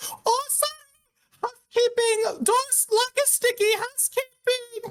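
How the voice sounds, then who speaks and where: A put-on character voice at an extremely high pitch and a fairly slow pace. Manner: cheery, fake.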